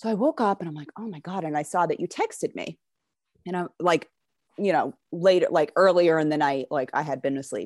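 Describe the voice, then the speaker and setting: Dry and close with no echo against a quiet background, a woman talks in a normal speaking voice at a fairly quick pace, her pitch fairly low with ordinary variation. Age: 20s. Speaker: podcast co-host. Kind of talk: casual chat.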